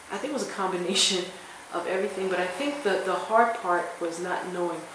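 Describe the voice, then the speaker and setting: An American accent at a moderate pace, with ordinary pitch variation, audible room echo and noticeable background noise. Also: woman. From US Northeast, Philadelphia. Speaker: professor. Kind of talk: interview. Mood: reflective, firm at times. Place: hall. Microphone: phone near.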